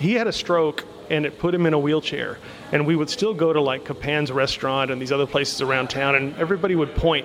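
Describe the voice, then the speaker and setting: At a very fast pace and with ordinary pitch variation, the voice is heard over noticeable background noise. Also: man. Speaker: guest, grandson of former team owner. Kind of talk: radio interview.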